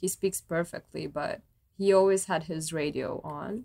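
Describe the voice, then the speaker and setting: A woman speaks at a fairly slow pace with a Croatian accent. Her pitch is fairly low, with ordinary variation. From Croatia, Zagreb. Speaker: violist. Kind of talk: casual chat.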